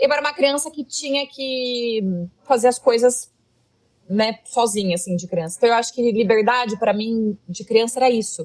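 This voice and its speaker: The voice carries a rural Brazilian accent. It moves at a moderate pace with ordinary pitch variation. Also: woman, fairly high pitch for a woman. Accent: Brazilian countryside. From Brazilian countryside. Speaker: content creator. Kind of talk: casual interview chat. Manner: loud.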